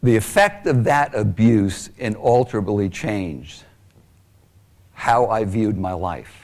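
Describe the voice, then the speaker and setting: A man's unremarkable speaking voice, fairly low in pitch, with ordinary pitch variation and a fairly slow pace. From Long Island, New York. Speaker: abuse survivor speaker. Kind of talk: testimony.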